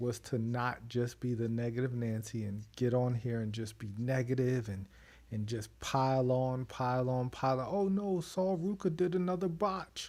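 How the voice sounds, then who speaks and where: Recorded very cleanly against a silent background, a man of medium pitch speaks at a moderate pace with lively intonation. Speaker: wrestling podcast host. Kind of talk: casual chat. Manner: soft-spoken.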